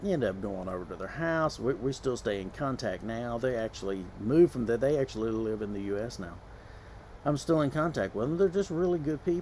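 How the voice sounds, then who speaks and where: A man with a Southern US accent, fairly quick delivery and very wide pitch swings. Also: medium pitch for a man. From US South. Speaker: vlogger. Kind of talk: casual vlog monologue. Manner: conversational, with many fillers.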